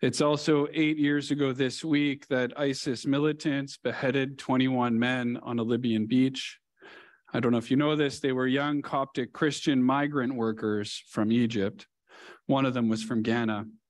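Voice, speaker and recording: Against a quiet background, a man speaks at a moderate pace with very even loudness and fairly even intonation. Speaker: preacher. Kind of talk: sermon. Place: church. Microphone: headset.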